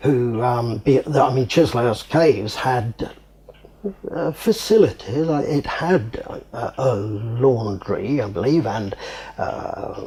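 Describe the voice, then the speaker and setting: There is noticeable background noise as a man with a southern English accent speaks very slowly at a medium pitch, his pitch varying in an ordinary way. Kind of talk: interview answer. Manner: hesitant.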